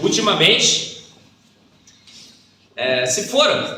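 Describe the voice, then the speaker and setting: Very slowly, a man talks with a Brazilian accent. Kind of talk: lecture. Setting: stage with audience. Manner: animated, casual.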